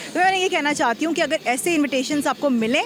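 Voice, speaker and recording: There is noticeable background noise in this clip. Through it, a woman speaks with lively intonation. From Pakistan. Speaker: radio presenter and voice-over artist. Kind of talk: interview answer.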